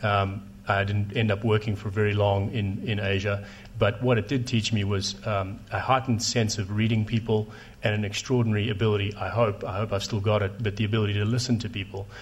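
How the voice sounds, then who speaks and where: A man with a South African accent speaks at a fairly quick pace in a fairly low pitch. His voice is somewhat breathy, with a monotone, flat intonation. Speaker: telecom investor. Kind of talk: panel discussion. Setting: stage with audience.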